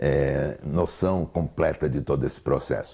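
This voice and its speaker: Vocal fry runs through a man's very deep, low voice, its intonation fairly even. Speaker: therapist. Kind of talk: lecture. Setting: online congress talk. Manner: halting.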